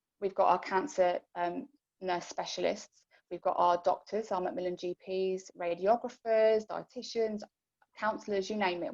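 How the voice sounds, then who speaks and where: A woman's medium-pitched voice, with ordinary pitch variation, comes through in a dry, close sound with no echo. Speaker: cancer charity support worker. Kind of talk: informational talk to support group. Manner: fast.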